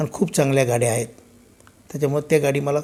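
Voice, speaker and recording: A man's fairly high, somewhat breathy voice, dark and mellow in tone, with fairly even intonation. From Solapur, Maharashtra, India. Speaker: supermarket owner, businessman. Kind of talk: interview, personal life story.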